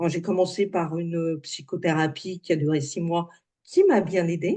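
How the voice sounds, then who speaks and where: This woman's voice is fairly low, with a dark, mellow tone. She talks fairly slowly, and her pitch varies in an ordinary way. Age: 60s. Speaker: alternative therapy practitioner. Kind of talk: interview. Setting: video call. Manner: halting, many hesitations.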